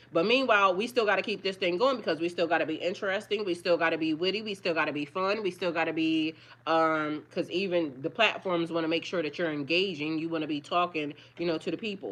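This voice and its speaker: A woman talks at a very fast pace over a quiet background. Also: fairly low pitch for a woman, ordinary pitch variation. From Delaware, US. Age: 40s. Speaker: tarot reader and spiritual life coach. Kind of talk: casual livestream chat. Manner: occasional stammering.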